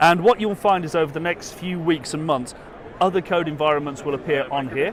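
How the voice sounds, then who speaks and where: Over noticeable background noise, a man with a British accent speaks very fast at a fairly high pitch with ordinary pitch variation. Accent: British accent, noticeable to US audience. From UK. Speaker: education executive. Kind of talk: product demo. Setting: trade expo floor.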